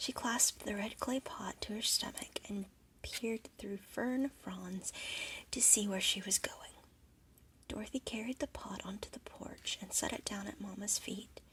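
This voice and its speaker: At a moderate pace, the voice stays soft-spoken. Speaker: ASMR storyteller. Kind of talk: bedtime story reading.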